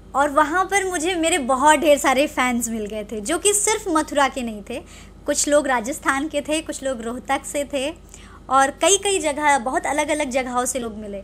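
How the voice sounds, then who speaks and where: Light background noise sits behind a woman with a high pitch. She speaks fairly slowly with lively intonation. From Lucknow, Uttar Pradesh, India; Uttar Pradesh. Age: 20s. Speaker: film and TV actress; TV actress. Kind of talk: interview. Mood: friendly, smiling. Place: home room. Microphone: handheld.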